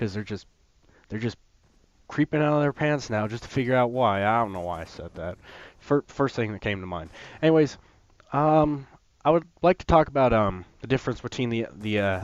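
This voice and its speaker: A man's medium-pitched voice with lively intonation and big swings in loudness, fairly quick in pace yet broken by long, frequent pauses, over a quiet background. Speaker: gaming youtuber. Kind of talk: gameplay commentary. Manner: hesitant, many fillers.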